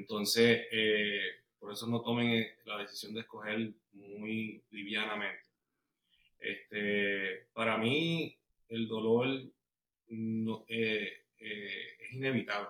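Very slow and broken by long, frequent pauses, a man's medium-pitched voice has a bright, sharp tone, monotone, flat intonation and big swings in loudness. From Puerto Rico (Bayamón). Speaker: guest sharing marriage testimony. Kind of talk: testimony interview.

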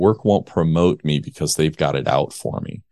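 This man's voice is very deep and low, with vocal fry and lively intonation. He talks at a moderate pace, and the sound is dry and close with no echo. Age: 50s. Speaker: men's transformation coach and podcaster. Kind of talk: interview.

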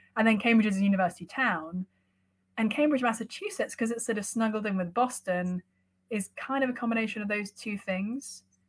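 A somewhat breathy voice in an American accent, fairly quick, with ordinary pitch variation. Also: woman, fairly high pitch for a woman. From London, England. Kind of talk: interview conversation. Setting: video call.

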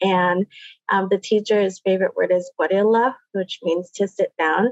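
A woman speaks with an unremarkable speaking voice at medium pitch, moderate pace and fairly even intonation. The sound is dry and close, with no echo. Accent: American. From Puget Sound, Washington (Muckleshoot). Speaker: Native language teacher. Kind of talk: interview.

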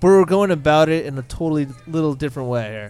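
A man speaks at a fairly quick pace in an unremarkable speaking voice, his pitch fairly high with ordinary variation. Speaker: podcast co-host. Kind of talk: live podcast recording with audience, casual banter. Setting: live venue with audience.

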